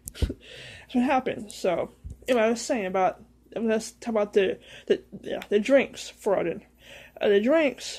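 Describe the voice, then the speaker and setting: Recorded very cleanly against a silent background, a woman with a high pitch speaks at a moderate pace with lively intonation. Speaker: heathen practitioner. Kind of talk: casual talk to camera. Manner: hesitant, halting.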